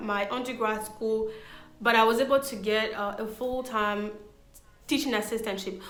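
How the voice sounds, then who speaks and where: Woman at a fairly high pitch with a non-native accent, moderate pace and audible room echo. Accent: foreign. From Ivory Coast. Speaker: interviewee sharing career story. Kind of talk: casual interview. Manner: hesitant with fillers.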